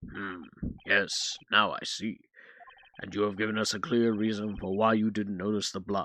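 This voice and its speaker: A man speaks in a put-on character voice, fairly low in pitch. His intonation is monotone and flat, at a moderate pace. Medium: game stream. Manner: hesitant, easily flustered.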